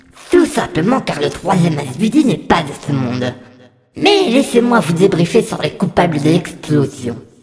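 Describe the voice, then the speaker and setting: Middle-pitched, moderately paced put-on character voice. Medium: audio drama. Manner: polite, measured, formal.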